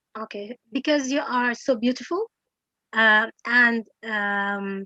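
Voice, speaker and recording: At a very slow pace, the speaker uses a bright, sharp tone and ordinary pitch variation with a non-native accent, in a dry, close sound with no echo. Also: woman. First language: not English. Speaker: English teacher. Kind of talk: Q&A session. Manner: halting.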